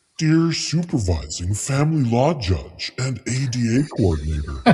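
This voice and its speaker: A man's put-on character voice, medium in pitch, with very wide pitch swings. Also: moderate pace. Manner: demonic, sinister.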